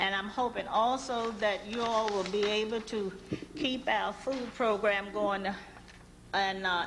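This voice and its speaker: Amid noticeable background noise and audible room echo, a woman with an American accent speaks fairly slowly at a medium pitch with ordinary pitch variation. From Washington DC. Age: 60s. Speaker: public hearing witness, senior citizen. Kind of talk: public testimony. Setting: budget hearing room. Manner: reading a prepared statement.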